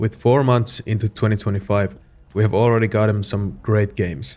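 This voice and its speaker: With a Finnish accent, a man speaks at a fairly low pitch with fairly even intonation. The recording is very clean, with a silent background. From Finland. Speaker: game reviewer. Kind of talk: video game review narration.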